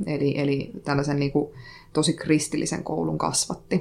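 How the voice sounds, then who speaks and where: A woman talks at a fairly slow pace in a very deep, low pitch marked by vocal fry. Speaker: poet. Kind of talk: casual poetry critique.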